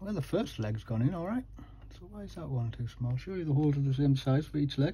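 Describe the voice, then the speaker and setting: The speech runs at a very fast pace, with big swings in loudness and ordinary pitch variation. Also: man, fairly high pitch for a man. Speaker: electronics repair youtuber. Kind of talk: tutorial. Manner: casual, thinking aloud.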